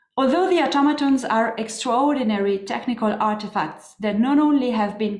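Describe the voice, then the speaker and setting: A woman with a French-Swiss accent at a fairly quick pace, ordinary pitch variation, audible room echo and noticeable background noise. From French-speaking Switzerland, Neuchâtel. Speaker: historian and museum curator. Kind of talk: lecture.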